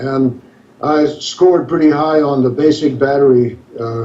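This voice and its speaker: A man in an American accent speaks with fairly even intonation over noticeable background noise. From US South, northern Louisiana (West Monroe). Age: 70s. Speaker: author, navy veteran. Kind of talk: interview.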